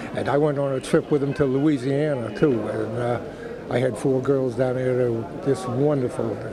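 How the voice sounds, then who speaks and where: A man with an American accent, medium pitch and monotone, flat intonation, with audible room echo and noticeable background noise. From Boston, US. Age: 80s+. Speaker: war veteran. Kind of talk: interview. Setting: airport.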